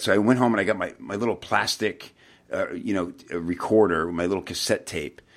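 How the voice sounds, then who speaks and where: A man speaks in an ordinary speaking voice at a fairly low pitch with ordinary pitch variation. His moderate pace comes through on a very clean recording with a silent background. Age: 40s. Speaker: podcast host, copywriter. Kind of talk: interview. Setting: podcast.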